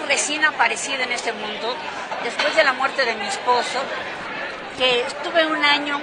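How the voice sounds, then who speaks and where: A woman speaks at a fairly slow pace with crowd noise in the background. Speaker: interviewee. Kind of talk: interview answer. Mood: amused, anecdotal. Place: hall.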